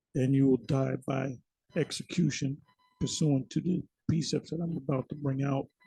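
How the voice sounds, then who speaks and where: A man talks in a fairly high, somewhat breathy voice with a dark, mellow tone and fairly even intonation. The sound is dry and close, with no echo. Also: moderate pace. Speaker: religious video preacher. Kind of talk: religious monologue. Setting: recorded video.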